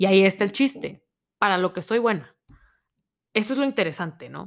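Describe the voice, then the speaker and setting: Her intonation lively, a woman speaks at a medium pitch in a very clean recording with a silent background. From Monterrey, Mexico. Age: 20s. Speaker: podcast host, university student. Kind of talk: solo podcast monologue. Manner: casual, conversational.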